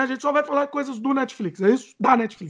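With lively intonation, a man talks at an extremely high pitch. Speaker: podcast co-host. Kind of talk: casual chat.

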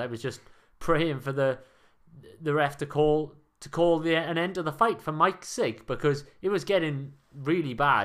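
A man at a moderate pace, fairly high in pitch with ordinary pitch variation, on a very clean recording with a silent background. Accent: Welsh. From Wales. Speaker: sports podcast co-host. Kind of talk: reading aloud; casual sports chat.

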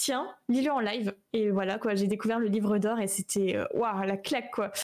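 A woman speaks at a moderate pace in an ordinary speaking voice, her pitch fairly high. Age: 20s. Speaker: streamer and 3D artist. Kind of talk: casual interview. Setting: live stream.

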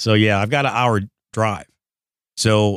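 A man with an American accent and a plain, everyday voice speaks at a moderate pace and a fairly low pitch. The recording is very clean with a silent background, dry and close with no echo. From Detroit, Michigan. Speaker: car dealer. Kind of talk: casual chat. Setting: studio.

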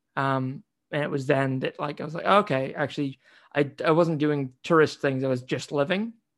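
Against a quiet background, a man with an American accent talks at a moderate pace. He has an ordinary speaking voice with a fairly high pitch and ordinary pitch variation. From US Pacific Northwest, near Seattle, with yearly stays in New Zealand. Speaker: podcast guest. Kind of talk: casual interview.

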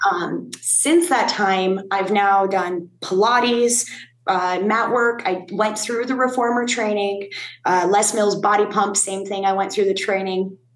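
A woman talks at a fairly slow pace in a medium pitch. Her intonation is fairly even, and audible room echo surrounds her voice. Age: 30s. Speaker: fitness instructor and union advocate. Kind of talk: interview.

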